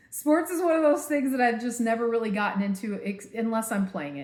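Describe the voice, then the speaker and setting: A woman with an American accent talks at a moderate pace in a somewhat breathy voice. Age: 50s. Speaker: vlogger. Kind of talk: personal vlog. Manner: casual, filler-heavy.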